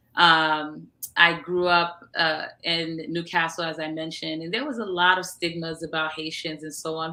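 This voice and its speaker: The pace of this speech is moderate. It comes from a woman whose pitch is fairly low. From US Northeast, Long Island, New York. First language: Haitian Creole. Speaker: entrepreneur and media founder. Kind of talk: interview. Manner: halting.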